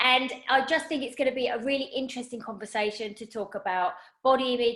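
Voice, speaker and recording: Her accent is southern English and her pitch fairly high. The woman speaks at a fairly quick pace. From southern England. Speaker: personal stylist, podcast host. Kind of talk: casual interview chat. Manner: animated.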